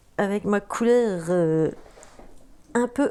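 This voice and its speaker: A woman speaks very slowly in a northern French accent. Her tone is dark and mellow, and her pitch sits in the medium range. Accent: northern French (ch'ti). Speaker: tarot card reader. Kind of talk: tarot reading video, casual address to viewers. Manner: hesitant, many fillers and restarts.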